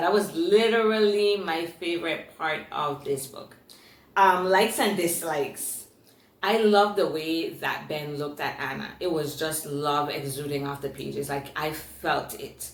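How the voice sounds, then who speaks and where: With audible room echo and noticeable background noise, a woman with an American accent speaks at a fairly slow pace in an animated tone, her fairly low pitch showing ordinary variation. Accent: Virgin Islands accent, noticed by commenters. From US Virgin Islands, Saint Thomas. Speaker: booktuber. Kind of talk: book review.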